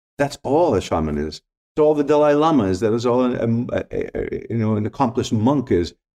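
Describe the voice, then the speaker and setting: A man with a Greek accent talks at a fairly quick pace in a dark, mellow tone at medium pitch, his intonation lively against a quiet background. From Greece. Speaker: spiritual teacher and former photographer. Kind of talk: casual interview chat.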